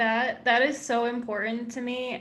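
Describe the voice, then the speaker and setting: Against noticeable background noise and audible room echo, a woman talks with an American accent. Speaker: entomologist and science YouTuber. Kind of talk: panel discussion.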